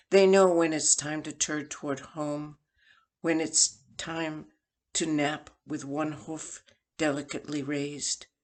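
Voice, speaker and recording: Against a quiet background, a woman with an American accent speaks very slowly in a very deep, low pitch with monotone, flat intonation. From New England, US. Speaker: poet. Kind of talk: poetry reading.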